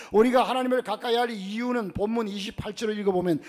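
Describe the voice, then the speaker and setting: A man is heard over noticeable background noise. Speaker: pastor. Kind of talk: sermon. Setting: church.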